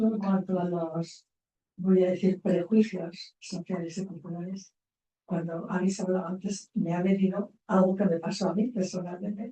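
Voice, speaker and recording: A woman talks at a fairly slow pace and a medium pitch in a flat monotone. Her tone is dark and mellow, somewhat breathy. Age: 80s+. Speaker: psychologist. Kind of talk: panel discussion.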